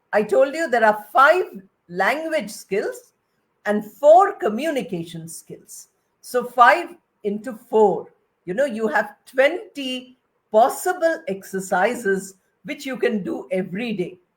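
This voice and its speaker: Very wide pitch swings and big swings in loudness mark this woman's high voice. She speaks at a very slow pace. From India (Bengali). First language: Bengali. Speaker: retired English professor. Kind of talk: lecture.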